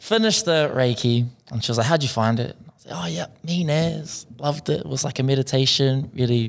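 Fairly quick in pace, this man talks with a New Zealand accent. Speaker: podcast co-host, Māori language student. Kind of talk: casual chat.

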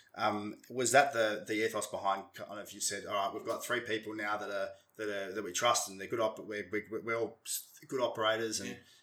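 A man with a bright, sharp tone, fairly low in pitch, fairly even intonation, a fairly quick pace and big swings in loudness. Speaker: podcast host. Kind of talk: casual interview chat.

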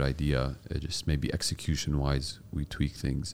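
A man's dark, mellow voice at a moderate pace. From US-born, raised in UAE, Palestinian heritage. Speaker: podcast host and startup founder. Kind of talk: interview.

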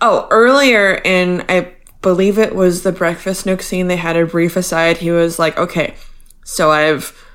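A woman talks at a moderate pace with an unremarkable speaking voice. Her pitch is fairly low and her intonation fairly even. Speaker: podcast host. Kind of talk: casual chat.

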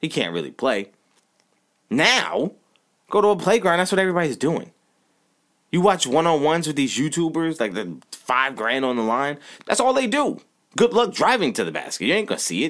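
An animated man with a fairly high pitch and vocal fry talks at a fairly quick pace, his pitch swinging very widely. He leaves long, frequent pauses. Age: 30s. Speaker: sports podcast host. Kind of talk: casual sports talk monologue.

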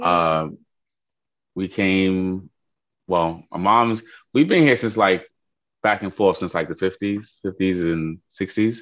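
At a very slow pace with long, frequent pauses, a man with a New York accent speaks in a fairly low pitch and fairly even intonation against a quiet background. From Queens, New York. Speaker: interviewee. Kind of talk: interview.

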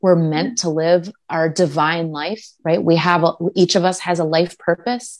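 With an American accent and an unremarkable speaking voice, a woman talks at a fairly slow pace with a fairly low pitch and hardly any pauses. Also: ordinary pitch variation. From US Midwest, Minnesota. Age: 40s. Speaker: pageant titleholder. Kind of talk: interview. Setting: video call.

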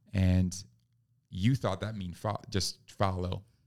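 A man with an American accent, a very deep, low pitch and monotone, flat intonation at a very slow pace, on a very clean recording with a silent background. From New York. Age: 30s. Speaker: pastor and missionary. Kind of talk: interview conversation.

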